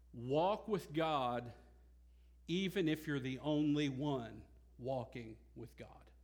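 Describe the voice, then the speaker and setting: Talking very slowly with long, frequent pauses, a man uses a fairly high pitch and ordinary pitch variation. His loudness swings widely, and the room echo is audible. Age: 30s. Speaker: pastor. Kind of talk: sermon. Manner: halting.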